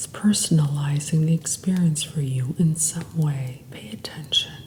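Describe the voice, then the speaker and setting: Over noticeable background noise, a woman with a very deep, low voice talks at a moderate pace with ordinary pitch variation and big swings in loudness. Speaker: hypnotherapist and meditation guide. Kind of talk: guided meditation. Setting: background sounds.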